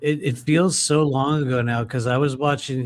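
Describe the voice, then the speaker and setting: A man talks in an ordinary speaking voice. His pitch sits at a medium level with ordinary variation. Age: 50s. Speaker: tarot reader. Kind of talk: casual chat. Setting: live stream.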